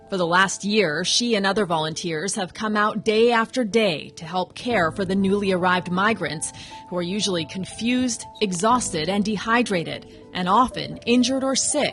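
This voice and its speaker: A woman at a medium pitch and moderate pace, with music in the background. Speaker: TV news reporter. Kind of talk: TV news voiceover narration.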